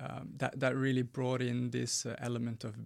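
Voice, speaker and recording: With a Norwegian accent, a man talks at a fairly slow pace and a medium pitch. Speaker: teacher turned documentary filmmaker. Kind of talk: radio interview. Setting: radio studio. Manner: hesitant, many fillers.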